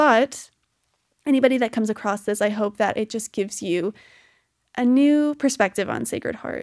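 On a very clean recording with a silent background, a woman speaks at a moderate pace and fairly high pitch with ordinary pitch variation and long, frequent pauses. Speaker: college student podcaster. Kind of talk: casual monologue.

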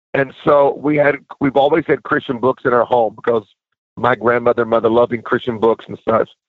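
At a fairly quick pace, a man of medium pitch speaks with fairly even intonation in an ordinary speaking voice. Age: 50s. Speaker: minister and author. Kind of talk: interview.

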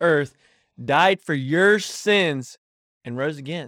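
The speaker, with a Southern US accent, is heard on a very clean recording with a silent background. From North Carolina, Davidson County. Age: young. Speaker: podcast co-host, college student. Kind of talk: casual chat.

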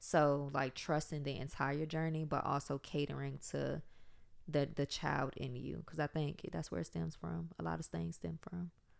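In a very clean recording with a silent background, a woman with an American accent speaks at a moderate pace, her very deep, low pitch swinging very widely and touched with vocal fry. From South Side of Richmond, Virginia, US South. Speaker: podcast co-host. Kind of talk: casual chat.

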